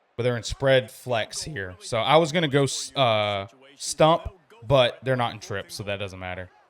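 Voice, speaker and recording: Animated in tone, a man talks at a medium pitch with ordinary pitch variation and big swings in loudness. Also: very clean recording, silent background. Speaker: video game streamer. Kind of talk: live gameplay commentary. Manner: fast.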